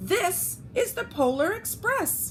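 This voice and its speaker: A squeaky, put-on character voice from a woman, extremely high in pitch, over clear background noise. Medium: read story.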